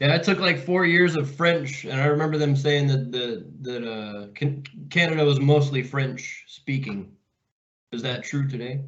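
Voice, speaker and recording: A man with an American accent speaks at a moderate pace, and audible room echo surrounds his voice. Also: fairly high pitch for a man, ordinary pitch variation. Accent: barely any. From Oklahoma. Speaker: podcast host. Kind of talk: casual chat.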